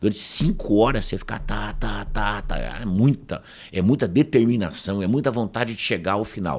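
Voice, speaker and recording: A man speaks at a moderate pace and fairly low pitch, with ordinary pitch variation. His voice has vocal fry. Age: 60s. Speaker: professor and speaker. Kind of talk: casual interview storytelling.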